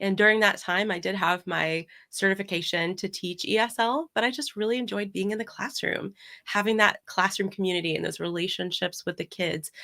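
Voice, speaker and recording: On a very clean recording with a silent background, a woman speaks fairly quickly in a bright, sharp tone at a medium pitch with ordinary pitch variation. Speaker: ESL teacher and coach. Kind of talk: interview conversation. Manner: hesitant, many fillers.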